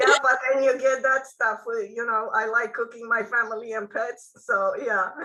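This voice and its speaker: With a Romanian accent, a woman speaks at a fairly high pitch and moderate pace in a bright, sharp tone, her intonation monotone and flat and her speech leaving hardly any pauses. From Romania, Bucharest. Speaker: author. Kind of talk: interview. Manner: halting.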